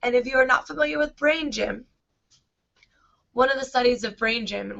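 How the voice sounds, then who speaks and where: A woman talks in an animated tone with a fairly high pitch. Her voice has noticeable vocal fry. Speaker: education consultant. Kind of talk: online training tutorial.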